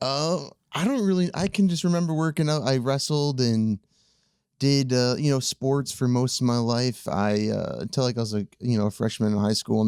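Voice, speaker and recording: Over a very clean recording with a silent background, a man speaks at a fairly quick pace in a Wisconsin accent. His medium pitch has ordinary variation and a dark, mellow tone. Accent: northern US (Wisconsin). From central Wisconsin (Chippewa Falls). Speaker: cameraman and video editor, former bodybuilder. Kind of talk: casual chat.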